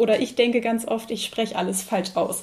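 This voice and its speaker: At a moderate speed, a woman talks in a high-pitched voice. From North Frisia, Eiderstedt peninsula. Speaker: podcast host, tourism staff. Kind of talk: interview. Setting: at guest's home.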